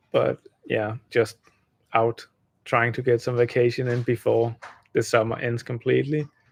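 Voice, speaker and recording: With a Danish accent, a man speaks at a moderate pace and medium pitch in a somewhat breathy, monotone voice, with long, frequent pauses and a dry, close sound with no echo. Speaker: gaming streamer. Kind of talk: casual live stream chat. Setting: live stream while traveling. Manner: stumbling over words.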